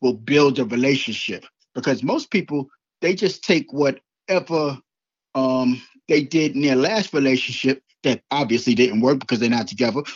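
An ordinary speaking voice from a man, medium in pitch. He talks at a moderate pace with ordinary pitch variation. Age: 50s. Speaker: life coach and author. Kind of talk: interview.

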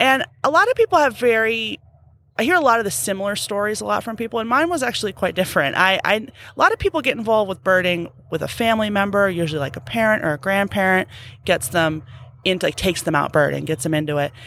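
In an American accent, a woman talks at a very fast pace with a medium pitch and very wide pitch swings. Her tone is bright and sharp on a very clean recording with a silent background. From Arizona, Phoenix. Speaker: conservation biologist. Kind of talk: interview.

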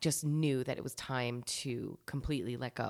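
A woman with an American accent in a very clean recording with a silent background. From New Jersey. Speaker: podcast host. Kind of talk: casual chat.

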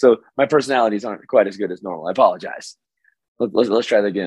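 At a very fast pace, someone races through lines in a raspy, put-on character voice. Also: man, medium pitch for a man.

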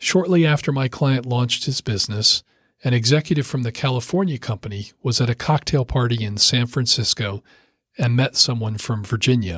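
A man with an American accent and a plain, everyday voice speaks fairly quickly at a medium pitch, the sound dry and close with no echo. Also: ordinary pitch variation. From US Mid-Atlantic (Rockville, Maryland). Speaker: lawyer and author. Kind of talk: audiobook reading.

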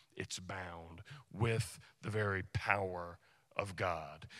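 The recording is very clean with a silent background. The speech unfolds at a very slow pace. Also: man. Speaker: pastor. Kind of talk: sermon. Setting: church.

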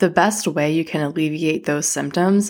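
A woman's voice with a very deep, low pitch, in a very clean recording with a silent background. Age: 30s. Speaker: podcast host. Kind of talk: casual solo podcast talk. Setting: home living room. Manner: casual, filler-heavy.

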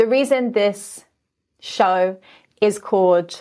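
A woman speaks with an American accent at a medium pitch and fairly even intonation. The recording is very clean, with a silent background. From London, England. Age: 30s. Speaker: podcast host, magician and dancer. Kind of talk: podcast monologue.

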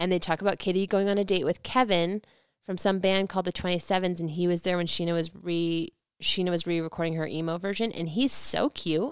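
A woman's fairly low-pitched, plain, everyday voice, fairly quick in pace and fairly even in intonation, in a very clean recording with a silent background. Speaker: podcast host. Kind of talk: casual chat recapping a reality TV show.

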